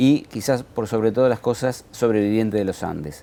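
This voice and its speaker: At a fairly quick pace, a man talks with a dark, mellow tone and medium pitch. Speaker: journalist interviewer. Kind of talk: interview.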